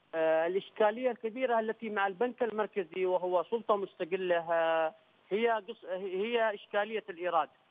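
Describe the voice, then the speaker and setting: A high-pitched male voice with ordinary pitch variation and hardly any pauses. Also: moderate pace. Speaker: government media secretary. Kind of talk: TV news debate. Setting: remote link from another city.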